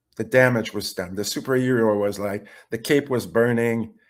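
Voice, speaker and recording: In a very clean recording with a silent background, a man with a French Canadian accent speaks fairly slowly. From Quebec. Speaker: webinar participant. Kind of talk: question and answer. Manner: halting.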